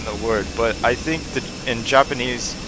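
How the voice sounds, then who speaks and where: A man speaks at a moderate pace, his pitch varying in an ordinary way, while noticeable background noise carries on. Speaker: flight sim streamer. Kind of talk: live stream commentary. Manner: casual, halting with fillers.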